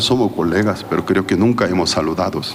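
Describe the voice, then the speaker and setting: Noticeable background noise and audible room echo surround a man as he talks. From South Korea. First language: Korean (speaking Spanish). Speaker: pastor. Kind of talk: sermon. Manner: halting.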